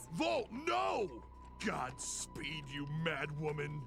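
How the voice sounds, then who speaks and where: Over loud background music, a man does a cartoonish character voice at a fairly high pitch and a very slow pace. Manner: frantic.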